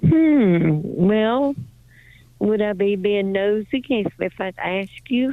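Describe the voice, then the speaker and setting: In an American accent, a woman speaks very slowly with lively intonation at a medium pitch. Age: 80s+. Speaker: caller, retired caregiver. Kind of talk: phone call. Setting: phone call.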